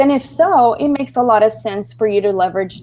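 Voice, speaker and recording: With a slight Brazilian accent, a woman speaks at a fairly quick pace and medium pitch, her intonation lively. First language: Portuguese. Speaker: B2B copywriter and webinar presenter. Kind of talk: webinar presentation. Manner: hesitant, many filler ums.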